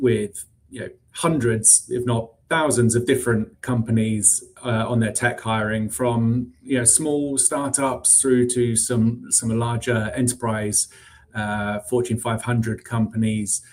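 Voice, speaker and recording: In a British accent, the somewhat breathy voice moves with fairly even intonation. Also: man. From UK. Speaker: recruiting executive. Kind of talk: interview. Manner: hesitant, many fillers.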